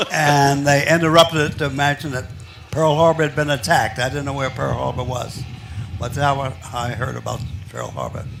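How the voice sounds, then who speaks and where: A man with an American accent, fairly high pitch, ordinary pitch variation and a fairly quick pace, against noticeable background noise. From Philadelphia, US Northeast. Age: 90s. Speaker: war veteran. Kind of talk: interview.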